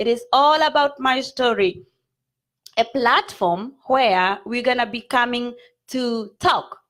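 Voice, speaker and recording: With a Kenyan accent, a woman talks at a very slow pace in a high pitch, her pitch varying in an ordinary way. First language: Kikuyu. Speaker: online show host. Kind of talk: live stream talk show.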